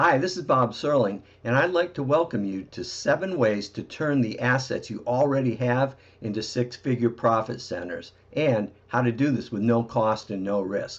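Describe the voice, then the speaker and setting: A man with a normal speaking voice talks at a moderate pace and medium pitch, with lively intonation and hardly any pauses. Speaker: marketing presenter. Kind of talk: sales presentation. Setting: recorded video webinar.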